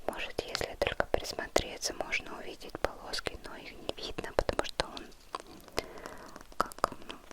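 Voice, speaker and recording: Whispering in a calm tone, a woman speaks fairly slowly with long, frequent pauses and big swings in loudness, over noticeable background noise. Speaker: ASMR creator. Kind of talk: ASMR whisper vlog to camera. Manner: soft-spoken, slow, calm.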